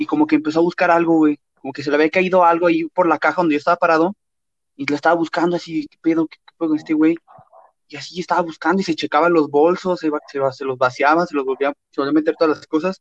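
Speaking at a very fast pace, a man with a fairly high pitch shows big swings in loudness, and the sound is dry and close with no echo. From Mexico, León, Guanajuato. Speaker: podcast co-host. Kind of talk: casual chat.

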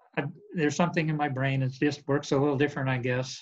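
In an American accent, a man talks with monotone, flat intonation and a somewhat breathy sound. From Montana, US. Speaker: construction executive. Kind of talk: interview. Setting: video call.

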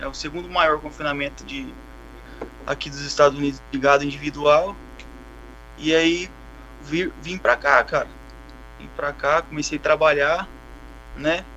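With big swings in loudness, a man speaks at a moderate pace, taking long, frequent pauses. There is noticeable background noise. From Brazil. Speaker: Brazilian emigrant working on a cattle operation. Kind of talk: casual chat.

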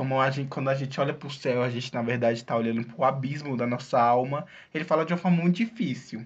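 A somewhat breathy, fairly high male voice, very fast, with ordinary pitch variation and a quiet background. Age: young. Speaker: podcast co-host. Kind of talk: casual chat.

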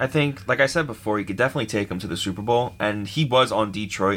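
A man at a very fast pace, his pitch fairly low. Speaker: podcast co-host. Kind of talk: casual sports debate.

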